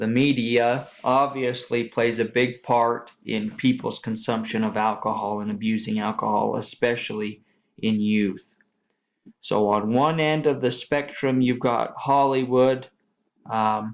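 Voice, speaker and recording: A man at a medium pitch, fairly slow and fairly even in intonation, against a quiet background. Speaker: student presenter. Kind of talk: class presentation. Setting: screen-recorded slide presentation. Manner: monotone; hesitant with fillers.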